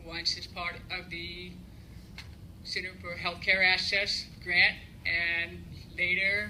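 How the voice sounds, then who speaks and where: A woman speaking at a very slow pace, with long, frequent pauses, big swings in loudness, audible room echo and noticeable background noise. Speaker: psychotherapist and deaf athlete. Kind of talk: award acceptance speech.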